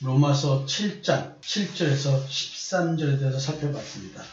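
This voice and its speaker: A man at a fairly high pitch with ordinary pitch variation, speaking at a fairly slow pace amid audible room echo. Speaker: pastor and counselor. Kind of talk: sermon-style Bible teaching. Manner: trying to speak slowly.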